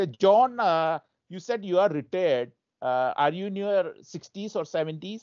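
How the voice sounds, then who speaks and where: At a moderate pace, a man speaks at a high pitch with lively intonation. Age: 60s. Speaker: show host. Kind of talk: casual chat. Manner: halting.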